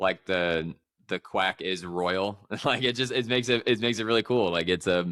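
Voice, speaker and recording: With a Midwestern American accent, a man speaks at a fairly low pitch in a bright, sharp tone, with ordinary pitch variation. His pace is moderate and his loudness very even, on a very clean recording with a silent background. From St. Louis, US Midwest. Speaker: podcast host. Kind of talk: casual interview chat.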